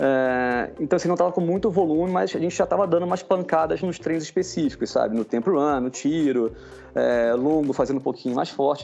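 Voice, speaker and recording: A man with an unremarkable speaking voice talks at a fairly quick pace, his fairly high pitch carried by lively intonation. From Rio de Janeiro, Brazil. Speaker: amateur marathon runner. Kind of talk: casual chat.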